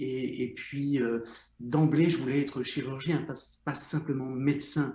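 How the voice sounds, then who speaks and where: A man with a dark, mellow, somewhat breathy tone, a fairly slow pace, fairly even intonation, and audible room echo. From Belgium, Brussels. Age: 60s. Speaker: psychotherapist, former surgeon. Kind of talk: interview.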